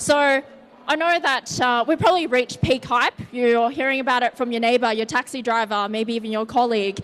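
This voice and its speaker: Fairly quick, high-pitched speech from a woman with an Australian accent and ordinary pitch variation. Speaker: tech company co-founder, conference speaker. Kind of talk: conference presentation. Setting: stage with audience. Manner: casual.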